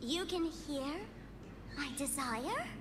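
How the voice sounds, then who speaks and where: Loud background noise sits under a high-pitched, put-on character voice. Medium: game stream. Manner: playful, teasing.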